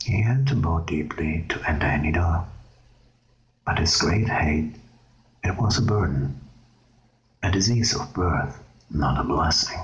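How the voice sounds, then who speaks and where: The speech comes at a fairly slow pace with long, frequent pauses, against noticeable background noise. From Germany. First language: German. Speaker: ASMR creator. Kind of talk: ASMR reading aloud; casual intro. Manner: soft-spoken.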